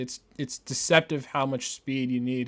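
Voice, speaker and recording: At a moderate pace, a man speaks at a medium pitch on a very clean recording with a silent background. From Canada. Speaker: gaming YouTuber. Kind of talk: gameplay commentary. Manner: stammering, frequent word repetitions; casual, filler-heavy. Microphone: new microphone, reportedly clear.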